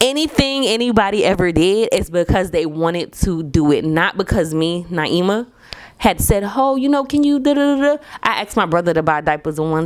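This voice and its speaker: An animated woman's voice with very wide pitch swings, at a fairly quick pace. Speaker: podcast host, stay-at-home mom. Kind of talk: casual monologue podcast. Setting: home at night.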